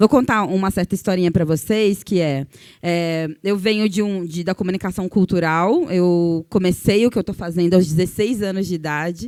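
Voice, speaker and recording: In a very clean recording with a silent background, a woman uses a normal speaking voice at medium pitch, with ordinary pitch variation and a moderate pace. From Brazil, Cuiabá, Mato Grosso. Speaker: journalist and communicator. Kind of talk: panel discussion talk.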